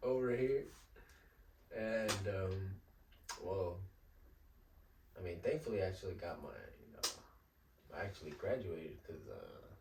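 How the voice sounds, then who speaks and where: Amid noticeable background noise, a man speaks fairly slowly with long, frequent pauses. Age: 20s. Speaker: Spanish-language musician. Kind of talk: casual chat.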